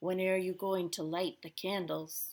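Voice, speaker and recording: A female-sounding, put-on character voice sits at a middle pitch and keeps a moderate pace. The recording is very clean, with a silent background. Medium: read story.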